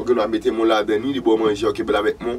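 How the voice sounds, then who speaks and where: Light background noise sits behind a man whose intonation stays fairly even. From Haiti. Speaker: vodou practitioner and channel host; channel host. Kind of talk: spiritual teaching monologue. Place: studio.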